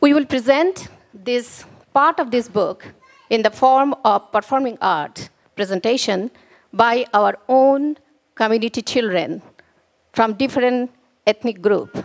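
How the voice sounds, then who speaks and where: With a Bengali accent, a woman speaks at a high pitch and fairly slow pace, her intonation lively and her speech marked by long, frequent pauses. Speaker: author and lyricist. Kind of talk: event speech.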